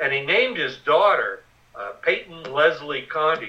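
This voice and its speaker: An ordinary speaking voice from a man with an American accent, fairly high in pitch, moderate in pace and lively in intonation. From Western Pennsylvania. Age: 60s. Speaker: war veteran and journalist. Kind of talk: interview.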